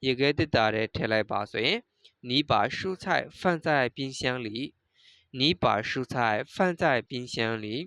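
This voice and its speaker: The speech has a Burmese accent. The pace is very slow. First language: Burmese (speaking Chinese). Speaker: Chinese language teacher. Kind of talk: lecture.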